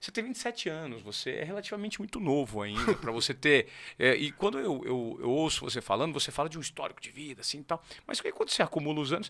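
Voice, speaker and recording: A man with a fairly high pitch speaks very fast, his tone bright and sharp and his pitch swinging very widely. The recording is very clean, with a silent background. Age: 40s. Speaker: podcast host. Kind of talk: podcast interview.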